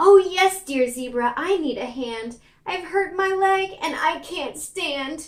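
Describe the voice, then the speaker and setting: A woman uses a put-on character voice, pitched extremely high, and speaks at a fairly slow pace. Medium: read story.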